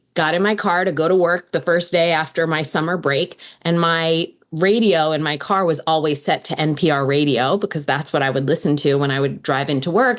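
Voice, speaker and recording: A woman with a fairly low pitch and ordinary pitch variation speaks at a moderate pace against a quiet background. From United States. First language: Hebrew. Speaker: law professor. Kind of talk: interview.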